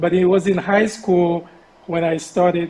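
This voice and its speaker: The man's voice sits high in pitch and stays monotone, with flat intonation. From Haiti, Port-au-Prince. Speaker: charity founder. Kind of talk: interview. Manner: hesitant.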